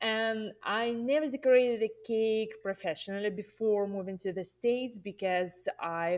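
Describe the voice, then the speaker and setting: A voice with a Russian accent on a very clean recording with a silent background. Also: woman. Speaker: cake artist and teacher. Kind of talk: interview podcast.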